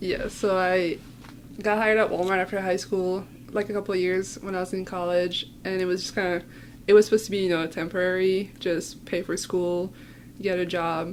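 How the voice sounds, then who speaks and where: At a fairly quick pace, a woman speaks in a monotone, flat intonation with a slight French accent. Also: medium pitch for a woman. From France. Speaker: city IT security administrator. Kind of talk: casual interview chat.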